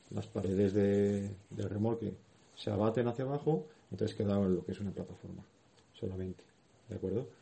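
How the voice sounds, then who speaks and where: A man with a fairly low, somewhat breathy voice talks at a fairly quick pace. He leaves long, frequent pauses, and his pitch varies in an ordinary way. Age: 30s. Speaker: wheelchair athlete and school volunteer speaker. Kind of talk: talk to schoolchildren. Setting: classroom.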